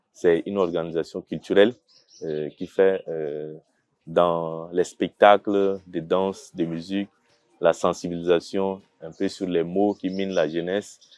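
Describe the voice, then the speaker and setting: Over music in the background, a man speaks at a very slow pace in a very deep, low, monotone voice with big swings in loudness. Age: 30s. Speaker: lawyer and dance company director. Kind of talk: interview testimony. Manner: halting, many hesitations.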